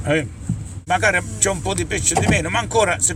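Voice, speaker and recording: Over noticeable background noise, a man talks at a fairly high pitch and a fairly quick pace. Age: 60s. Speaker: fisherman. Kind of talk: interview.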